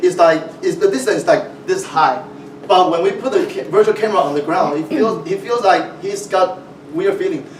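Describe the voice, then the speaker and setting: A man's voice comes through with noticeable background noise and audible room echo. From Taiwan. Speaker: VR film producer. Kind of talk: conference talk. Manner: halting.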